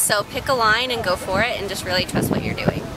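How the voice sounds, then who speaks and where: A woman talks fairly quickly in a dry recording with no echo while loud noise fills the background. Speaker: trail runner. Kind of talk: interview answer. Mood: cheerful, relaxed. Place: garden.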